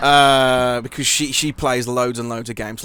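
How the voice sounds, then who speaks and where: A man speaks in a Birmingham accent. His tone is bright and sharp, his intonation monotone and flat. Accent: Midlands (Birmingham). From English Midlands, Birmingham. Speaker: podcast host, interviewer. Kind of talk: casual interview chat. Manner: halting, many fillers and restarts.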